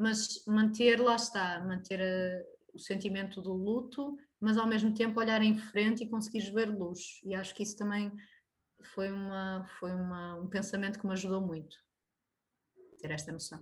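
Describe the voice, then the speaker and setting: A woman's somewhat breathy, medium-pitched voice at a moderate pace, with fairly even intonation and audible room echo. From Portugal, Braga. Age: 30s. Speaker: family doctor. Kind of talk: interview conversation; personal testimony. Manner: halting.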